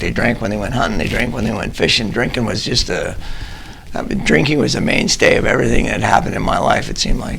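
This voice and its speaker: A man speaks fairly quickly while noticeable background noise and audible room echo fill the recording. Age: 60s. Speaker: recovering alcoholic sharing his story. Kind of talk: testimony. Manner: halting.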